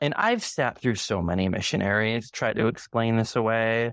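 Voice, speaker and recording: In an American accent, a man talks at a moderate pace and medium pitch. He has an ordinary speaking voice, set against a quiet background. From US Midwest, Chicago area. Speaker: former university student. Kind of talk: interview.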